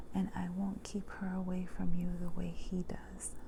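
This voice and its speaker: Soft-spoken whispering at a very slow pace over noticeable background noise. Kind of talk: whispered ASMR story reading for sleep. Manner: whispered, soft-spoken.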